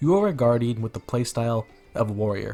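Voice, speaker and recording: Over music in the background, a man talks very fast at medium pitch with ordinary pitch variation. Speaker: gaming content creator. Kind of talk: game build guide narration. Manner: upbeat, casual.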